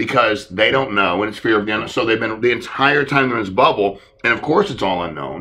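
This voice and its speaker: A man's medium-pitched, bright and sharp voice at a fairly quick pace, with lively intonation and audible room echo. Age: 40s. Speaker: insurance sales leader hosting a training call. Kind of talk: sales training conference call.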